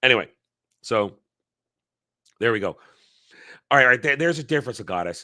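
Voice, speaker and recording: This man speaks with an American accent in a bright, sharp tone, captured in a very clean recording against a silent background. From New York tri-state area, US East Coast. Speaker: livestream commentator on pop culture. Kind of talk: casual live chat. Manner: can speak very quickly.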